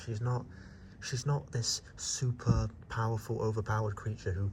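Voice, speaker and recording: A man's somewhat breathy voice. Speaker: YouTuber. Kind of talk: monster ranking vlog. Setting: outdoors at night. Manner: whispering; casual, halting.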